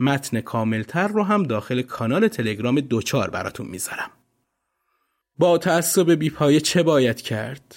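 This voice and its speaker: Very wide pitch swings from a fairly high-pitched man at a moderate pace. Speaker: podcast narrator. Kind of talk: scripted narration.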